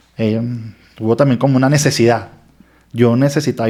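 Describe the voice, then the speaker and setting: Using an ordinary speaking voice, a man at medium pitch moves at a fairly quick pace with fairly even intonation. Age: 40s. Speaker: lawyer. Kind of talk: testimony.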